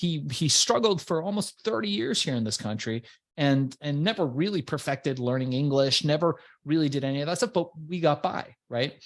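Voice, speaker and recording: In an animated tone and at a moderate pace, a man with a Persian accent speaks over a quiet background. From Iran, immigrated to US as a child. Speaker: entrepreneur and business coach. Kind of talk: interview.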